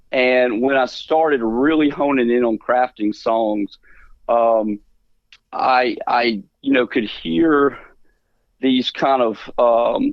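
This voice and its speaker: With a Mississippi accent, a man talks at medium pitch, his intonation fairly even and his loudness very even. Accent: US Southern (Mississippi). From Mississippi Delta. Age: 40s. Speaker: musician. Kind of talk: radio interview. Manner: casual with many fillers.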